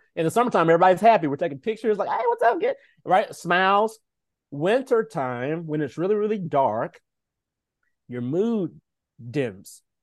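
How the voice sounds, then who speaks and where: Against a quiet background, a man with a high pitch uses lively intonation and takes long, frequent pauses. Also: moderate pace. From Nashville, Tennessee. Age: 30s. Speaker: health and wellness coach. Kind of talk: casual interview.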